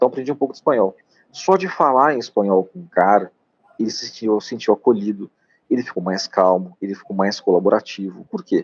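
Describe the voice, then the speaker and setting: A man with a normal speaking voice and fairly low pitch talks at a fairly quick pace, his lively intonation and big swings in loudness captured in a dry, close sound with no echo. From Piauí, Brazilian Northeast. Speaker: doctor. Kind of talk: live-stream interview. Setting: live stream.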